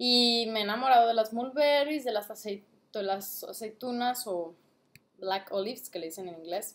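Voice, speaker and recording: Her loudness swings widely as a woman with a fairly high pitch speaks at a fairly slow pace, her pitch varying in an ordinary way. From Mexico, Guadalajara, Jalisco. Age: 20s. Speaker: vlogger and trader; vlogger. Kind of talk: casual product review vlog. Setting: at home, late at night. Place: home room. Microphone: webcam.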